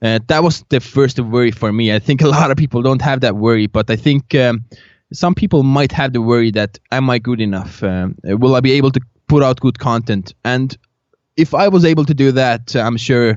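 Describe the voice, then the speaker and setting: A man speaks with a non-native accent at a moderate pace. His pitch is medium, with ordinary variation. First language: not English. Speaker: agency founder and podcaster. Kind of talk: podcast interview. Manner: halting, many fillers.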